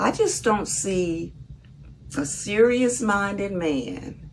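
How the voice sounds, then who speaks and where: A woman with a Southern US accent speaks at a very slow pace with very wide pitch swings, and there is audible room echo. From US South, Mississippi. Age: 70s. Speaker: vlogger. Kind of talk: casual monologue.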